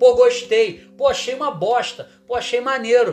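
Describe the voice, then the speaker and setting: A man with a Rio de Janeiro accent, extremely high in pitch, animated in tone, with ordinary pitch variation at a fairly slow pace. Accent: Carioca Brazilian Portuguese. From Brazil, Rio de Janeiro. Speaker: online marketing creator. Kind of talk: casual video monologue; reading from a script.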